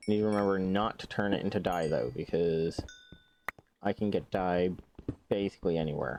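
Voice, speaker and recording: A man speaks at a very deep, low pitch and a moderate pace, with long, frequent pauses. His loudness stays very even. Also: ordinary pitch variation. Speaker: gaming streamer. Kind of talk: casual gameplay commentary. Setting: live stream.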